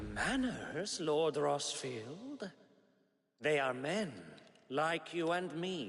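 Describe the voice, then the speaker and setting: A man speaks at a very slow pace in a put-on character voice with a fairly high pitch, leaving long, frequent pauses. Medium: video game.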